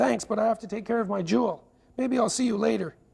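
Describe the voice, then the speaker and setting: Using a put-on character voice, a man speaks very fast with a raspy, high pitch and ordinary pitch variation. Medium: read story.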